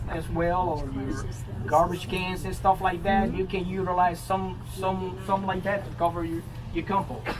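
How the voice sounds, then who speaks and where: Music plays in the background as a man speaks at a moderate pace with a fairly high pitch and audible room echo. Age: 60s. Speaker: master gardener leading a composting workshop. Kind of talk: informal workshop Q&A. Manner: halting, many fillers and repetitions.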